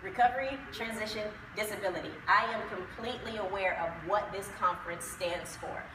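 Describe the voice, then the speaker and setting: Her pitch is fairly high, with ordinary pitch variation. The woman is heard with audible room echo and noticeable background noise. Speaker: combat veteran and conference speaker. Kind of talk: conference presentation.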